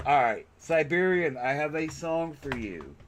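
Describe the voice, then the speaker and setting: A man with an American accent at a medium pitch, speaking very slowly over noticeable background noise. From West Virginia. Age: 40s. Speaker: streamer. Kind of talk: casual chat. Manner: animated.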